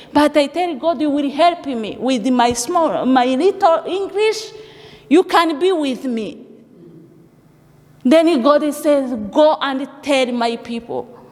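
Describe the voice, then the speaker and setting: A woman's high voice with a non-native accent, very slow and lively in intonation, broken by long, frequent pauses, over noticeable background noise. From Africa. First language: not English. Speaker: refugee giving church testimony. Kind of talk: testimony. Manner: halting.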